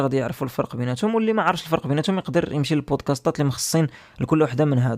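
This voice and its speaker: Against a quiet background, a man with a fairly high voice speaks very fast. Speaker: podcast host. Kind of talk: educational podcast monologue. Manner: casual, with hesitations.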